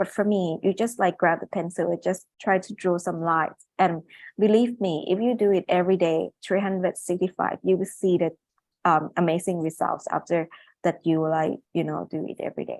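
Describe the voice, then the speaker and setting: Dry and close with no echo, a woman talks at a moderate pace and fairly low pitch with fairly even intonation. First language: not English. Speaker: neurosurgeon and medical illustrator. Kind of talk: webinar presentation. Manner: halting, many fillers.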